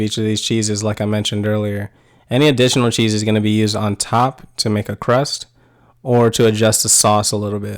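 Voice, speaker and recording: A man with an American accent and a medium-pitched voice speaks at a very fast pace on a very clean recording with a silent background. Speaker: cooking channel host. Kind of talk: tutorial. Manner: monotone.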